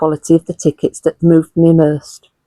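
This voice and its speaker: A woman in a Hull accent, with a dark, mellow tone at a moderate pace, recorded dry and close with no echo. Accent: Hull, northern English. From Hull, England. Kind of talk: literary essay reading. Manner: clear.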